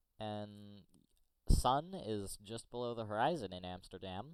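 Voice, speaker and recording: A plain, everyday voice from a man with an American accent, fairly low in pitch with ordinary variation, at a fairly slow pace. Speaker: tech YouTuber. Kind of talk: tutorial. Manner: casual.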